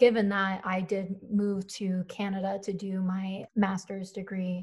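This woman has an American accent and a medium pitch. Her intonation is monotone and flat, and her voice is somewhat breathy. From US Northeast, Philadelphia. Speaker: climate activist and writer. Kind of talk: interview.

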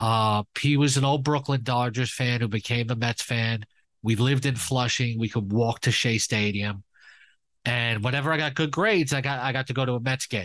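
Against a quiet background, a man with a New York accent talks at a moderate pace and medium pitch, his loudness very even and his pitch variation ordinary. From New York, Queens. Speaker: fantasy sports analyst. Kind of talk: casual interview.

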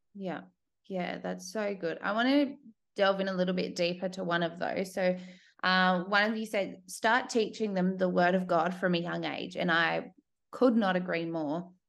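In an Australian accent, a woman speaks over a quiet background. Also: medium pitch for a woman, ordinary pitch variation, moderate pace. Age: 30s. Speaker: podcast host. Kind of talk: interview.

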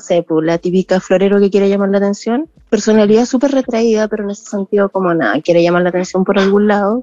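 Over noticeable background noise, a woman's voice comes through dry and close with no echo and ordinary pitch variation. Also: hardly any pauses. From southern Chile, small village. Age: 30s. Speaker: podcast listener sharing story. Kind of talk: personal testimony. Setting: video call.

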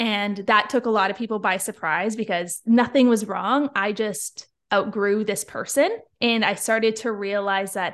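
With a plain, everyday voice and a Canadian accent, a woman speaks at a moderate pace and medium pitch with ordinary pitch variation against a quiet background. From Ontario, Canada (Niagara Falls). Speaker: mindset and confidence coach. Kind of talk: interview conversation.

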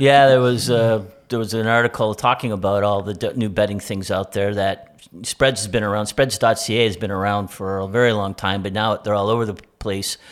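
This fairly quick speaker has an unremarkable speaking voice, captured in a very clean recording with a silent background. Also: man, fairly low pitch for a man. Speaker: co-host and son. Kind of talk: casual chat.

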